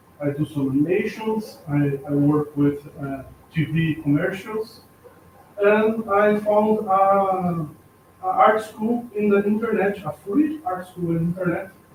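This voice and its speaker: With a Brazilian accent, a man speaks at a high pitch and a fairly slow pace with lively intonation. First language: Portuguese. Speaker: artist and art teacher. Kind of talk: self-introduction at event. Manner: halting.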